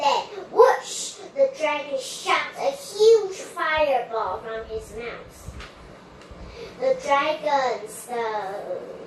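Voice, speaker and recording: Clear background noise and a slight echo accompany a woman's voice. Her pitch is high, with very wide swings. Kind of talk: read-aloud storybook. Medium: read story. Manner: halting, self-correcting.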